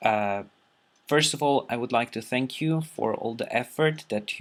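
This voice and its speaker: At a fairly slow pace, a man with a non-native accent talks with ordinary pitch variation. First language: not English. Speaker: video blogger responding to a teacher. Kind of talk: casual monologue to camera. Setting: recording alone at a computer. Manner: halting, many fillers.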